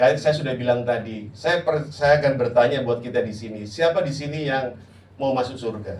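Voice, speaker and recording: In a room with audible echo, a man speaks fairly quickly at medium pitch with ordinary pitch variation. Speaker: pastor. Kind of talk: sermon. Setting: church. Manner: loud; animated.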